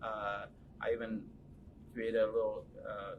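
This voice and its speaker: A man with a Californian accent talks at a fairly slow pace. Noticeable background noise sits behind him. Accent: Californian American English. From Los Angeles, US (moved from Mexico as a child). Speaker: photojournalist. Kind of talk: interview. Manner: halting, many fillers and repeats.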